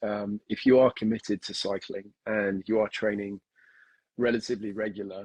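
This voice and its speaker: A man talks at a moderate pace in a fairly low voice. The sound is dry and close, with no echo. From UK, with time in Kenya, Australia and Canada. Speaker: endurance sport coach. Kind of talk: podcast interview. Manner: many filler words and hesitations.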